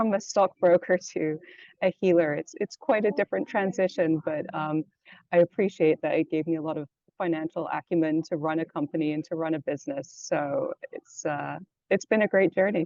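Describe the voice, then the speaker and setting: Speaking at a moderate pace, a woman with a Canadian accent uses a fairly low pitch and ordinary pitch variation. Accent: Canadian-sounding. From London, England. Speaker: yoga teacher and energy healer. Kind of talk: interview.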